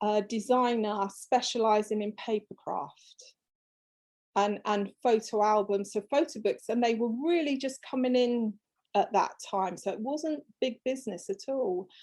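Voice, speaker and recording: At a fairly slow pace, a woman speaks in a fairly high pitch with ordinary pitch variation. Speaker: fabric designer. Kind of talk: interview.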